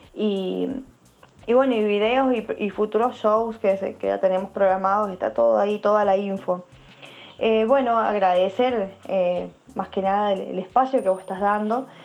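Fairly even intonation carries this voice along at a moderate pace. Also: woman, medium pitch for a woman. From Argentina, San Juan (Cuyo). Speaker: bass player. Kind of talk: interview. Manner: halting.

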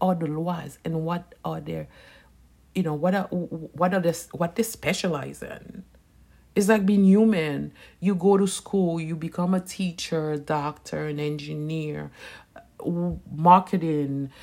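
A woman speaks very slowly in a fairly low, dark and mellow voice. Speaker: Vodou practitioner and soap business owner. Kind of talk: casual unscripted monologue. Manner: conversational, unedited.

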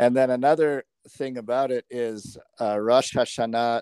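A man speaks in a normal speaking voice at medium pitch, with fairly even intonation. The recording is very clean and dry, close with no echo, over a silent background. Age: 40s. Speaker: podcast co-host. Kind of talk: casual chat.

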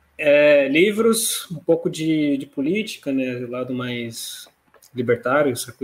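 A man's fairly high voice, an ordinary speaking voice, fairly slow with lively intonation. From Brazil, São Paulo city. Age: 30s. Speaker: fintech CEO. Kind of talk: interview. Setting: live stream.

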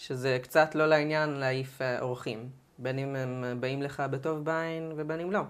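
At a moderate pace, a woman talks in a very deep, low voice with fairly even intonation. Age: 20s. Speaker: student preparing for university. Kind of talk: interview.

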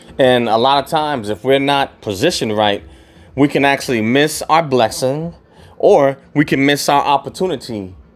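A man in a relaxed tone with a fairly high pitch, moderate pace, ordinary pitch variation, and music in the background. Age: middle-aged. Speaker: podcaster. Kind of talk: casual monologue. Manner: relaxed, many fillers.

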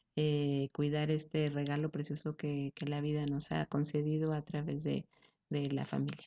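A woman speaks in a very deep, low voice at a fairly slow pace. Her intonation is monotone and flat. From Mexico, Aguascalientes. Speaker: breastfeeding support leader. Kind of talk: interview.

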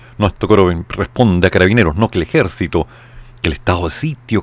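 A man speaks with a very deep, low pitch. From Chile. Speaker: radio show host and commentator. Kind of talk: live radio news commentary. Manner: reading news aloud.

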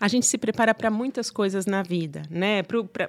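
A woman talks in a normal speaking voice, fairly high-pitched, with lively intonation at a moderate pace. The recording is very clean with a silent background and a dry, close sound with no echo. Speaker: psychotherapist and gynecologist. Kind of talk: casual interview.

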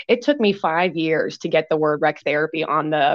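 A woman with an American accent has a normal speaking voice at a fairly low pitch. She keeps a moderate pace. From Pennsylvania. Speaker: recreational therapist and business owner. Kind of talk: interview.

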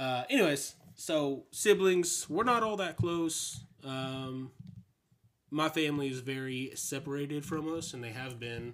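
Speaking with an American accent in an ordinary speaking voice, a man with fairly high pitch and ordinary pitch variation moves at a fairly slow pace, with big swings in loudness. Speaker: host's husband. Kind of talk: casual chat. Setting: home bedroom recording.

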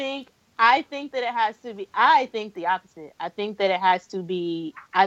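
A woman with a plain, everyday voice talks at a moderate pace and a medium pitch, with lively intonation. The sound is dry and close with no echo. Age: 20s. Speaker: podcast guest, blogger. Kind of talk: casual chat.

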